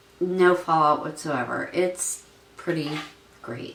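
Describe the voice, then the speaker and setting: Against noticeable background noise, the woman talks at a fairly slow pace. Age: 50s. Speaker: beauty vlogger. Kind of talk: makeup tutorial talk to camera. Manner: enthusiastic.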